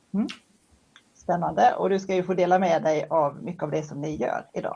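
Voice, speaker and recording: With a west Swedish accent, a woman speaks at a fairly low pitch in a dark, mellow tone with vocal fry. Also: ordinary pitch variation, moderate pace. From western Sweden. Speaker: moderator. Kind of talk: moderated panel discussion. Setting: livestream.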